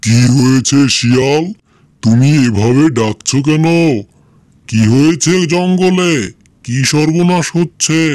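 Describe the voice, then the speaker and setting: A man puts on a cartoonish character voice, pitched fairly high, speaking very slowly with ordinary pitch variation. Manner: bold, challenging.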